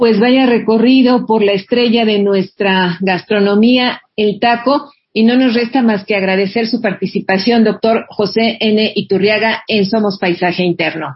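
A woman with a fairly high, somewhat breathy voice speaks at a fairly slow pace with hardly any pauses. Her loudness stays very even and her intonation fairly even. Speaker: radio host. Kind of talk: radio interview.

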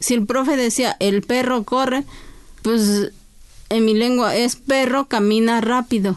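Speaking at a very slow pace, a woman has a high pitch. Her loudness stays very even, and her pitch variation is ordinary. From Oaxaca, Mexico (Chinantla region). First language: Chinantec (speaking Spanish). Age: 40s. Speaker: poet and court interpreter. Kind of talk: interview. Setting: studio.

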